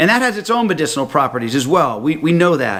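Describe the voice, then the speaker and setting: A man with an American accent, a bright, sharp tone and a fairly high pitch. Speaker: health products speaker. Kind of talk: recorded talk to a conference. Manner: fast; animated.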